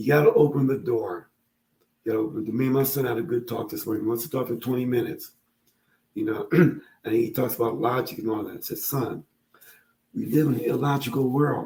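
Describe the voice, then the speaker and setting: With a dark, mellow tone, a man speaks somewhat breathily at a fairly quick pace, leaving long, frequent pauses. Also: medium pitch for a man, ordinary pitch variation. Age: 70s. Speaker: father and social media creator on fatherhood. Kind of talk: casual interview chat.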